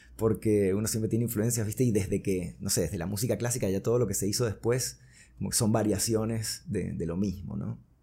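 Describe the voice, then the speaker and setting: This man talks at a fairly quick pace with ordinary pitch variation. His dark, mellow tone carries some vocal fry. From Venezuela (Caracas), born in Buenos Aires. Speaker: singer-songwriter and music producer. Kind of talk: interview conversation.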